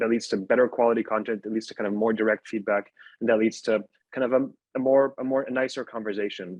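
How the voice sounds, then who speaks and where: In an Arabic accent, a man with a fairly low pitch talks at a fairly quick pace and keeps his intonation fairly even. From Syria. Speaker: podcast network founder. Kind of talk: panel discussion. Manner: halting, many repeated words.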